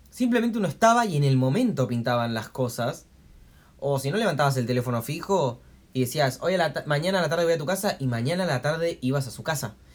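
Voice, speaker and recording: A man talks very fast in a somewhat breathy, fairly high voice. His intonation is lively. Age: 20s. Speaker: podcast co-host. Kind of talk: casual chat. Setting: home, recorded on a tablet.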